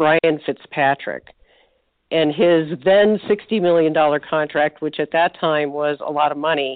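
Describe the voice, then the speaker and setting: At a fairly slow pace, a woman uses an ordinary speaking voice with ordinary pitch variation. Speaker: retired nurse turned sports writer. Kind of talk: sports interview chat.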